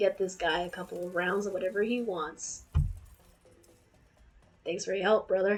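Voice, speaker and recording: In a raspy, put-on character voice at a medium pitch, a woman speaks at a moderate pace with monotone, flat intonation and long, frequent pauses while music plays behind her. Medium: game stream.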